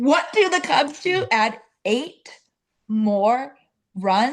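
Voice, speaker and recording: A woman speaks loudly at a high pitch and a very slow pace. Her pitch swings very widely. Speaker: sports content creator. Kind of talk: casual chat. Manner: animated.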